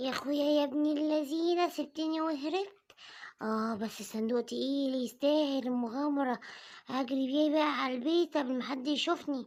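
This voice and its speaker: A cartoonish character voice, female-sounding and high-pitched for a woman, delivered at a moderate pace. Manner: scheming, bossy.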